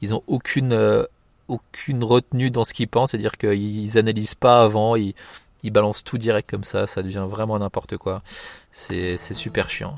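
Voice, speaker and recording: Fairly even intonation and a moderate pace come through in a very clean recording with a silent background and a dry, close sound with no echo. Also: man. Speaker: podcast host. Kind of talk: casual solo commentary. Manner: hesitant, many fillers.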